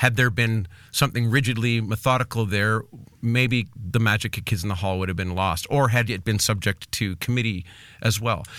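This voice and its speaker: In a normal speaking voice, a man keeps a moderate pace. His intonation stays fairly even, and his pitch sits fairly low. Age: 40s. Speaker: podcast host and musician. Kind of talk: casual chat.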